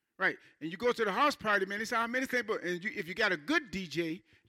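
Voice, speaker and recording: A man's high-pitched, raised and projected voice, bright and sharp in tone, with lively intonation at a very fast pace. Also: big swings in loudness. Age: 60s. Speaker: pastor. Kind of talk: sermon. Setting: church. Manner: halting.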